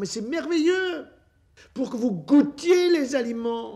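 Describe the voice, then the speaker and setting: A man with a dark, mellow tone speaks using ordinary pitch variation. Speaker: physician. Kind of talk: public talk. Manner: animated.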